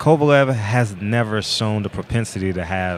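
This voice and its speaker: At a moderate pace, a man speaks with fairly low pitch and ordinary pitch variation. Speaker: boxing commentary co-host. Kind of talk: live fight commentary. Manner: loud; halting, repeats words.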